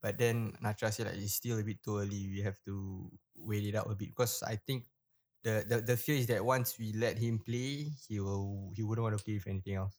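This man has an ordinary speaking voice, pitched fairly low, with fairly even intonation. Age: 20s. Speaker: father, podcaster. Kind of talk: casual chat. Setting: remote recording from home.

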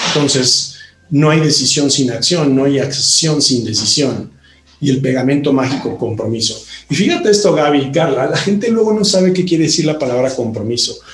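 A man's fairly high voice with lively intonation and very even loudness, at a moderate pace, amid noticeable background noise and audible room echo. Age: 50s. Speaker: company CEO and co-founder. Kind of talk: interview. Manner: animated.

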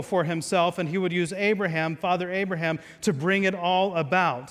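A man's high-pitched voice at a moderate pace. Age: 30s. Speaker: pastor. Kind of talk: sermon.

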